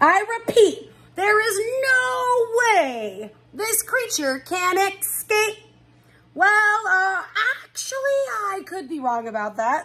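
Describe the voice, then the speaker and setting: A woman uses a put-on character voice that is squeaky and extremely high-pitched. It moves at a very slow pace with very wide pitch swings. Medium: read story. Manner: showy.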